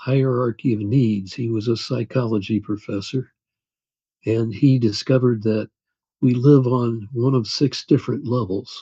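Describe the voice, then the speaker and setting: A man with an American accent, somewhat breathy, medium-pitched, fairly even in intonation, at a fairly slow pace. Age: 80s+. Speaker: author and attorney. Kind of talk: interview.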